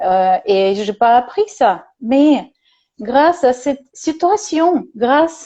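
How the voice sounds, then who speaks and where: In a Russian accent, a woman with a high pitch speaks at a very slow pace. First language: Russian (speaking French). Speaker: psychologist and therapist. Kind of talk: casual conversation on video call. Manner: halting, many hesitations.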